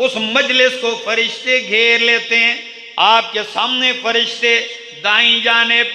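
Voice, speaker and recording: A man uses a raised, projected voice at an extremely high pitch, monotone and flat, with very even loudness. He speaks very slowly amid audible room echo. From Pakistan. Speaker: Islamic preacher. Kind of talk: sermon. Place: hall.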